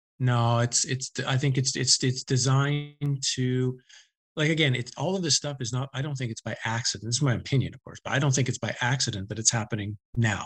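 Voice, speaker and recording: Somewhat breathy and at a medium pitch, a man speaks at a fairly quick pace with fairly even intonation. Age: 50s. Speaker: author. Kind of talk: interview.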